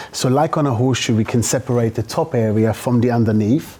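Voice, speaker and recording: Noticeable background noise sits behind this recording. A man speaks at a fairly quick pace with fairly even intonation. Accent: German. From Germany. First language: German. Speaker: hairdresser. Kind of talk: live demonstration; casual interview.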